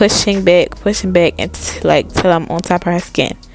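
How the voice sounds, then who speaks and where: Noticeable background noise sits behind a woman speaking in a fairly low pitch with fairly even intonation. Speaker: beauty vlogger doing nails. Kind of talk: tutorial voice-over narration. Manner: halting, self-correcting; casual.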